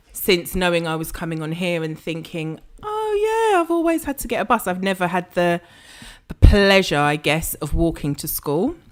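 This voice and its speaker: A woman in a South London accent, medium pitch, ordinary pitch variation, moderate pace. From South London, Croydon. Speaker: business mentor and pricing strategist. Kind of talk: interview.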